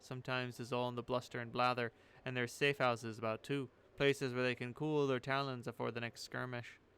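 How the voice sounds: Fairly even intonation in a natural reading voice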